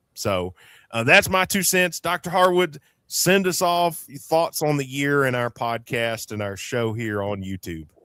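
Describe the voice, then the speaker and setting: At a fairly slow pace, a man with an Appalachian accent speaks in a fairly high, bright, sharp tone with very wide pitch swings, the sound dry and close with no echo in a very clean recording with a silent background. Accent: Appalachian Southern US. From Eastern Kentucky. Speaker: podcast host, former radio host. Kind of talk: casual chat.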